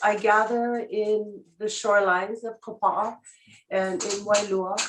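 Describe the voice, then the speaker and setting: A woman with a Hawaiian accent and fairly even intonation. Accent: Hawaiian local English. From Hawaii, west side of Kauai. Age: 60s. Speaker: public testifier, traditional healer. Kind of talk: public hearing testimony. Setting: video conference. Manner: halting, many fillers.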